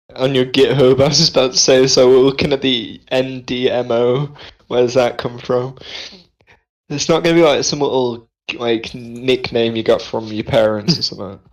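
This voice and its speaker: Here a man speaks with an English accent. His intonation stays fairly even. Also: medium pitch for a man, moderate pace. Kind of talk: casual chat.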